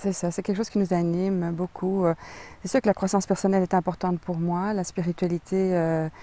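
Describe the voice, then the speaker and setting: Fairly quick female speech at a medium pitch, dark and mellow in tone, with monotone, flat intonation. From Belgium. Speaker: author. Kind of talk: interview. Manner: hesitant, many fillers.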